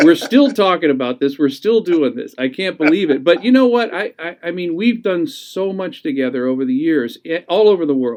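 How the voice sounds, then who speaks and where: With hardly any pauses, a man talks at a high pitch and makes very wide pitch swings. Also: moderate pace. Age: 50s. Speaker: drummer and show host. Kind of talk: interview conversation.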